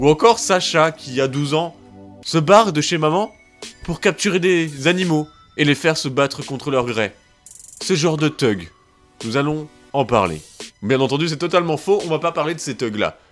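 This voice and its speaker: Over music in the background, a man with a fairly high pitch speaks at a moderate pace in a playful tone, with lively intonation and long, frequent pauses. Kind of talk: casual humorous history narration to camera. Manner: playful, joking.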